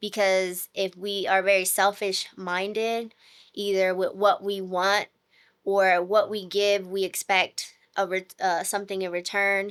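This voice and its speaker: Captured in a very clean recording with a silent background, a woman speaks at a fairly slow pace with monotone, flat intonation. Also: medium pitch for a woman. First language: not English. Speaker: podcast co-host, nurse. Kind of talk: casual chat.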